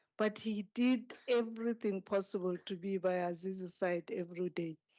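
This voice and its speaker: A woman with a non-native accent speaks at a moderate pace and medium pitch, her intonation fairly even. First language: not English. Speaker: speaker at a memorial service, former aide to a president. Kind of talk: memorial tribute speech. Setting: memorial service hall.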